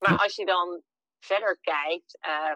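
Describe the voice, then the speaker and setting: A woman's voice is heard with a dry, close sound and no echo. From Netherlands, Emmeloord (Noordoostpolder). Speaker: entrepreneur living abroad. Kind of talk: interview.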